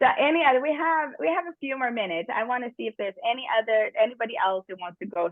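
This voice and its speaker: A woman with a European accent and very wide pitch swings. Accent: noticeable European. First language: not English. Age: 50s. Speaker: workshop presenter, business trainer. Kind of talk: workshop talk. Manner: occasional stumbling on words.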